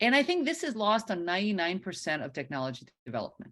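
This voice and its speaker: A loud woman speaks with very wide pitch swings against a quiet background. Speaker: professor. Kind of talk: lecture. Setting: video call.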